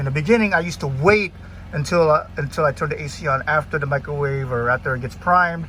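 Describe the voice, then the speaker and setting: This man has a fairly high pitch and a bright, sharp tone. He speaks at a very fast pace. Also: ordinary pitch variation. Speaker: van owner and reviewer. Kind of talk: casual video review walkthrough. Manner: halting, many fillers.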